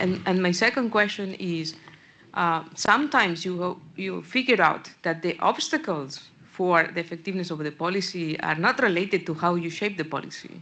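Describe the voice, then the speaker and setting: In a Spanish accent, the voice has a bright, sharp tone and keeps a moderate pace. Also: woman, medium pitch for a woman, ordinary pitch variation. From Spain. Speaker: audience member, policy official. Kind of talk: panel Q&A question.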